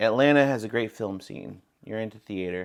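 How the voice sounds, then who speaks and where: The recording is very clean, with a silent background. A man speaks at a moderate pace with ordinary pitch variation. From Texas, San Marcos. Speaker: actor and stand-up comedian. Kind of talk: casual chat. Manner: halting, many restarts.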